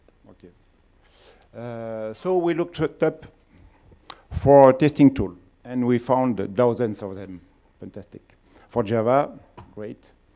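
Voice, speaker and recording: A man's medium-pitched voice with a dark, mellow tone and a strong French accent, fairly slow, full of long, frequent pauses and big swings in loudness. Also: ordinary pitch variation. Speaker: company founder and CEO. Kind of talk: conference talk. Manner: halting.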